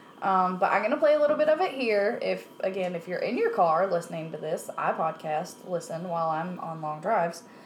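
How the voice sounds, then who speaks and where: A woman with lively intonation at a fairly quick pace, hardly any pauses, over noticeable background noise. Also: medium pitch for a woman. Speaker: podcast co-host. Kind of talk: casual chat. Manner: excitable.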